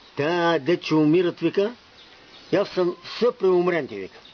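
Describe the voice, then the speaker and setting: Showing big swings in loudness, a man speaks at a high pitch with an Asia Minor accent. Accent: Asia Minor Bulgarian dialect. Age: old. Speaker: folk storyteller. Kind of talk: telling traditional parables.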